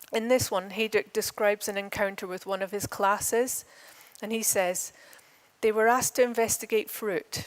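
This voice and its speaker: A woman with an Edinburgh accent, fairly high in pitch, at a moderate pace with fairly even intonation. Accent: Edinburgh (Scottish). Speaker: conference speaker, architecture academic. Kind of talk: conference lecture. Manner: hesitant at times.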